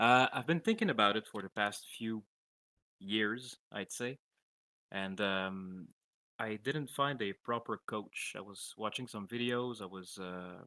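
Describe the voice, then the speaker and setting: In a French accent, the voice has a bright, sharp tone, a fairly slow pace and ordinary pitch variation. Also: man, fairly low pitch for a man, dry, close sound with no echo, very clean recording, silent background. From French-speaking country. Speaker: coaching client, gamer. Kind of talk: casual chat. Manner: halting.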